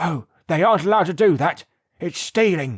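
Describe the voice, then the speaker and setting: A man's raspy, put-on character voice, high-pitched with lively intonation at a fairly quick pace, in a dry, close sound with no echo. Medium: read story.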